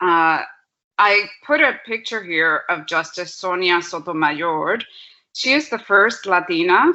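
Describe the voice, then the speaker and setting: Speaking at a fairly slow pace, a woman with a Spanish accent has a fairly low pitch. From Puerto Rico. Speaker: law professor. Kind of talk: panel presentation.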